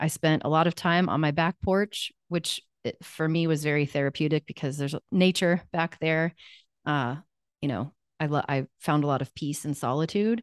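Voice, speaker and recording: A woman with a US Midwestern accent speaks at a moderate pace in a very deep, low voice with ordinary pitch variation, recorded dry and close with no echo over a quiet background. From Kansas, US Midwest. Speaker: life coach. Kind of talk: interview testimony.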